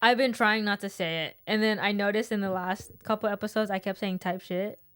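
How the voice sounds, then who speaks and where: At a very fast pace, a woman speaks in a medium pitch. Her intonation is monotone and flat. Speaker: podcast co-host. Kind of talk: casual chat. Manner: mumbling.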